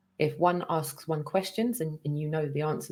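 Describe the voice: A woman speaks low in pitch with ordinary pitch variation. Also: slightly mellow tone.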